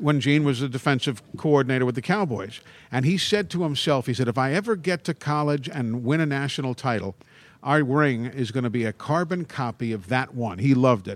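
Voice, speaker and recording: Fairly quick and lively in intonation, the voice carries an American accent on a very clean recording with a silent background. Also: man, medium pitch for a man. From Brooklyn, New York. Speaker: college football play-by-play broadcaster. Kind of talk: casual chat. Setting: live broadcast from a public venue.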